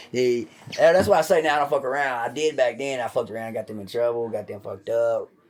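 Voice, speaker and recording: Moderate-paced speech from a man, ordinary in its pitch variation. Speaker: podcast host. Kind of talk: casual chat. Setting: at home. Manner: loud; animated.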